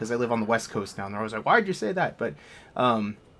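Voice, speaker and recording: On a very clean recording with a silent background, a man with a slight Boston accent speaks at medium pitch with ordinary pitch variation. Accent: slight Boston accent on some words. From Massachusetts, Worcester (near Boston). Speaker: video game let's play host. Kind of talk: casual gameplay commentary. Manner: casual, filler-heavy with restarts.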